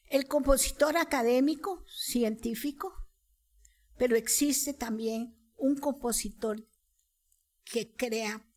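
Speech comes very slowly, its pitch moving in an ordinary way. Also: woman. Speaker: composer and soprano. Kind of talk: casual chat.

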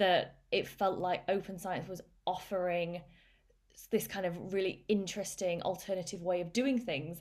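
At a moderate pace, a woman talks with fairly even intonation and a medium pitch. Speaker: psychology lecturer. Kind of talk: casual interview. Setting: online call. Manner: articulate.

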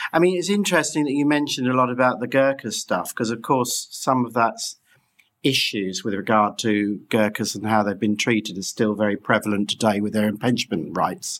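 The speaker has a British accent and moves at a fairly quick pace. Pitch variation is ordinary. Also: man, medium pitch for a man. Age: 40s. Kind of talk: interview. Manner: halting.

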